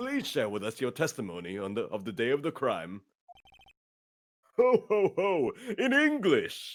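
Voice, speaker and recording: A man's booming, put-on character voice, fairly high in pitch, at a moderate pace with long, frequent pauses. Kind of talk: comic overacting. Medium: game stream. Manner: jolly, booming ho-ho laughter.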